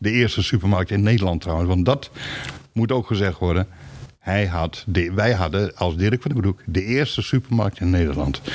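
Noticeable background noise sits behind a man with a fairly low pitch and ordinary pitch variation. He keeps a moderate pace and very even loudness. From Groningen, northern Netherlands. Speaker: retired supermarket employee and company archivist. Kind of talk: interview. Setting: basement archive room. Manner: halting.

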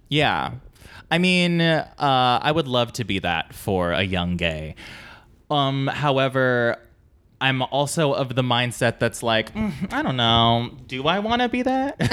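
A man with an American accent speaks at a fairly slow pace. His pitch swings very widely while his loudness stays very even. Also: medium pitch for a man. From US West Coast, San Diego. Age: 30s. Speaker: comedic actor and writer. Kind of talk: casual chat. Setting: at home.

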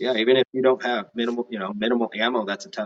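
A man with an American accent at a very fast pace. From Northern California. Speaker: competitive shooter. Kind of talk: casual chat.

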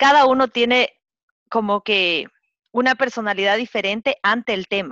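A bright, sharp voice speaks at a moderate pace with ordinary pitch variation, in dry, close sound with no echo against a quiet background. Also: woman, fairly high pitch for a woman. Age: 30s. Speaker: podcast co-host, graphic designer. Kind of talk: casual chat.

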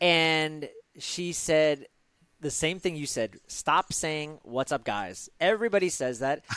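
Speaking very slowly, a man uses lively intonation at a fairly high pitch. The sound is dry and close with no echo, on a very clean recording with a silent background. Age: 40s. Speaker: podcast host. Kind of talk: podcast interview.

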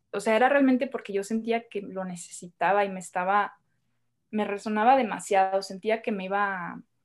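Against a quiet background, a woman with a plain, everyday voice and a medium pitch speaks at a moderate pace. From northern Mexico, Hermosillo, Sonora. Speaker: women's circle facilitator. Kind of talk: podcast interview.

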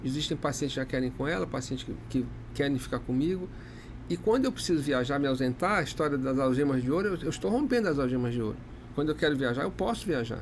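Lively intonation carries this delivery at a very fast pace. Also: man, fairly high pitch for a man. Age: 50s. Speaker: dermatologist and clinic owner. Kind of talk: casual interview. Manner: halting, frequent repetitions.

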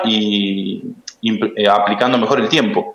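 A man's plain, everyday voice at medium pitch, with ordinary pitch variation. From Argentina, Buenos Aires province. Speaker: lawyer and amateur swimmer. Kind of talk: interview. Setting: phone call.

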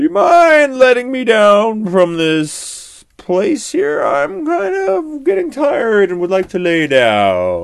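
A put-on character voice with vocal fry and big pitch swings, slow and with few pauses

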